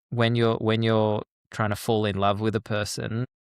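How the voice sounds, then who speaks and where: A man with an Australian accent speaks at a fairly quick pace in a medium pitch, his intonation flat and monotone. The recording is very clean, with a silent background. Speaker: peace educator and author. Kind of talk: interview. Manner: halting, repeats words.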